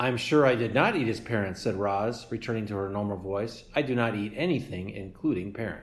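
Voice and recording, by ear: A text is read out loud. The reading is in a natural voice.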